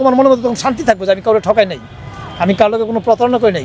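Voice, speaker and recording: A man talks with ordinary pitch variation as noticeable background noise carries on behind him. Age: 50s. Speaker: interviewee sharing life advice. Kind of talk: interview.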